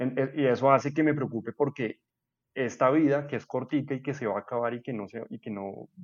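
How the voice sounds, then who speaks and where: Recorded with a dry, close sound and no echo, a man in an ordinary speaking voice talks at a fairly quick pace with fairly even intonation. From Colombia, Bogotá. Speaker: podcast host. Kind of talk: casual chat.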